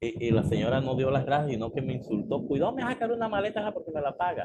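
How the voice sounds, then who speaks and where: Over noticeable background noise, a man with a fairly high pitch speaks very fast, his pitch swinging very widely. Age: 60s. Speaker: pastor. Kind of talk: sermon. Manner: calm.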